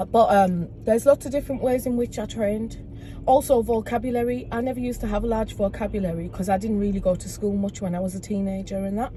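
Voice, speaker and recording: A woman with a Teesside accent speaks at a very fast pace in a medium pitch. Noticeable background noise runs throughout. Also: ordinary pitch variation. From northern England, Middlesbrough. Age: 30s. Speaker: community activist. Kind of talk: casual chat.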